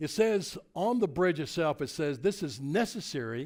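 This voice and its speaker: A man with a Tennessee accent and lively intonation, on a very clean recording with a silent background. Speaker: motivational speaker. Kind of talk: keynote speech. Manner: animated.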